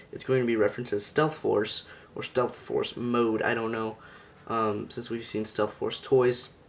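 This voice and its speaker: Mumbling at a moderate pace, a man speaks in a medium pitch with monotone, flat intonation. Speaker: toy reviewer. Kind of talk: product review. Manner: halting.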